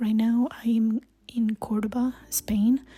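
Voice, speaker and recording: A woman's somewhat breathy, fairly high voice with a Spanish accent and monotone, flat intonation. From Colombia. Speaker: travel vlogger. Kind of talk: vlog monologue. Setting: hostel.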